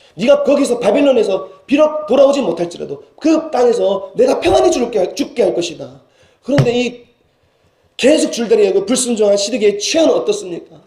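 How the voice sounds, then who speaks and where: A man with an extremely high pitch talks at a fairly quick pace with lively intonation. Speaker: senior pastor. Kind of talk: sermon. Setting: church. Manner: halting with fillers and self-corrections.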